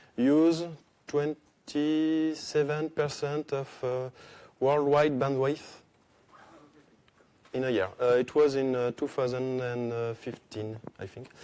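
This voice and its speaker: A man with a French accent talks at a very slow pace, leaving long, frequent pauses. His medium pitch holds a fairly even intonation. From France. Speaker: conference speaker, software developer. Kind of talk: conference talk. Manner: halting, many hesitations.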